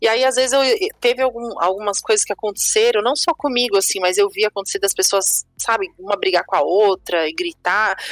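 A woman's fairly high voice with lively intonation, very even loudness and a fairly quick pace, dry and close with no echo, music in the background. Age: 30s. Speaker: podcast host. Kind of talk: casual chat.

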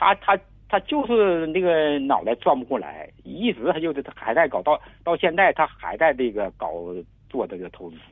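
The voice moves at a moderate pace with very wide pitch swings and big swings in loudness. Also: man, fairly high pitch for a man. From rural China. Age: 50s. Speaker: caller, farmer. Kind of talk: advice call-in. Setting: phone call. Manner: halting, repetitive stammering.

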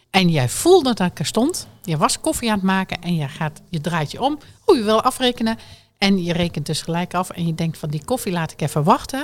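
A woman speaks at a fairly quick pace, her pitch moving in very wide swings. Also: medium pitch for a woman. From Drenthe, northern Netherlands. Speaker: podcast host. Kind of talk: casual interview; scripted outro.

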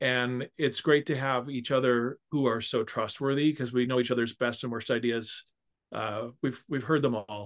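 Speaking at a moderate pace with fairly even intonation, a man has a plain, everyday voice and an American accent, recorded dry and close with no echo against a quiet background. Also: medium pitch for a man. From California. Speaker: musical arranger and orchestrator. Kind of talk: casual interview chat.

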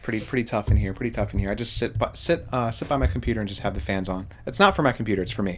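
A man's fairly low, vocal-fried voice at a very fast pace, lively in intonation and with hardly any pauses. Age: 20s. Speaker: podcast co-host, animation student. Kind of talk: casual chat.

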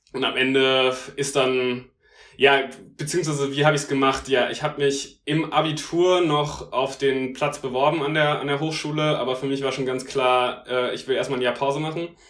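At a moderate pace, a man with a fairly high-pitched voice speaks in a monotone, flat way. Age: 20s. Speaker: law student. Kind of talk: casual interview. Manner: hesitant, many fillers.

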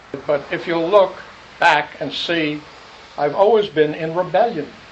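The speaker goes at a fairly slow pace with ordinary pitch variation over noticeable background noise. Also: man. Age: 70s. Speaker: Zen teacher. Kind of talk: dharma talk. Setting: meditation hall with live audience.

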